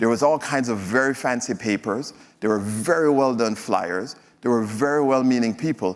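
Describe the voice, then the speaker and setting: On a very clean recording with a silent background, a man talks at a moderate pace and medium pitch with a Jamaican accent, his loudness very even. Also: ordinary pitch variation. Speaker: physician and health executive speaker. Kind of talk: stage presentation. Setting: stage with audience. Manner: hesitant, many fillers.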